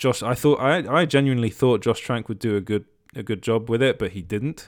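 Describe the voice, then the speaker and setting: This man talks at a medium pitch with a British accent, ordinary pitch variation and a moderate pace. The recording is very clean, with a silent background. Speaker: podcast host reviewing entertainment news. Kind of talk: solo podcast monologue. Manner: frequent hesitations and restarts.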